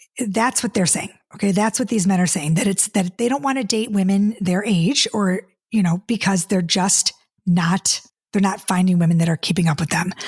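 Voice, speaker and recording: A woman speaks at a moderate pace and medium pitch, with ordinary pitch variation and very even loudness. Her somewhat breathy voice sounds dry and close, with no echo. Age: 50s. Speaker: dating coach and podcast host. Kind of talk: casual podcast monologue. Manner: animated, repetitive stammering.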